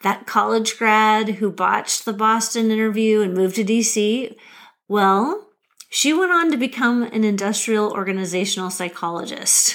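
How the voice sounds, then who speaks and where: A woman's plain, everyday voice in an American accent, fairly high in pitch with ordinary pitch variation, very even loudness and a moderate pace, in a very clean recording with a silent background. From Nebraska, US Midwest. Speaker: podcast host, career coach. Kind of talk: solo podcast monologue.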